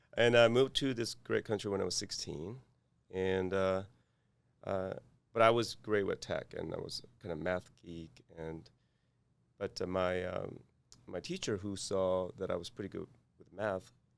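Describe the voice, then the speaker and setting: A man with a Korean accent, fairly low in pitch and fairly even in intonation, at a moderate pace, with big swings in loudness and long, frequent pauses. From South Korea. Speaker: cybersecurity executive. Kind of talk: interview. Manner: halting, many fillers.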